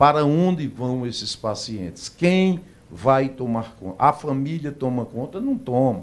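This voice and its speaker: A man with an unremarkable speaking voice, medium pitch and lively intonation. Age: 60s. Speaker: doctor and health plan executive. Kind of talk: radio interview. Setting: radio studio.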